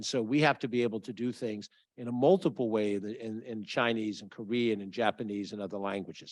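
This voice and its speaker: In a quiet background, a man with an unremarkable speaking voice talks fairly quickly at a medium pitch, his pitch varying ordinarily and his loudness swinging widely. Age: 60s. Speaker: county official. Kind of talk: public speech.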